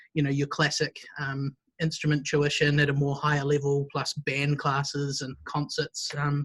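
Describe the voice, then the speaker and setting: A man with a New Zealand accent, moderate pace, and a dry, close sound with no echo. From New Zealand, Wellington. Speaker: music school director. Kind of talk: interview.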